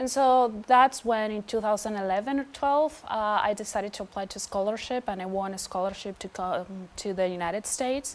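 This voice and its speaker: With a Venezuelan accent, a woman talks at a fairly quick pace with ordinary pitch variation and hardly any pauses. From Venezuela, Caracas. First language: Spanish. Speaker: PhD student. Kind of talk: interview testimony. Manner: hesitant with many fillers.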